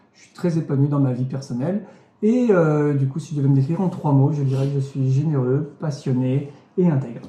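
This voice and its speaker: With a fairly high pitch and ordinary pitch variation, a man talks at a fairly quick pace, his loudness swinging widely amid audible room echo. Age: 30s. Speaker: churchgoer giving testimony. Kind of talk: testimony. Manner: hesitant, many fillers.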